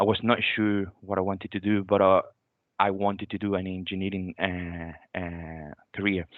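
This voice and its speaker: Here is a man with a very deep, low pitch. His intonation is monotone and flat, at a moderate pace. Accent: Venezuelan. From Venezuela. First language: Spanish. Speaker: graduate renewable energy engineer. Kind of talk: careers talk. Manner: halting.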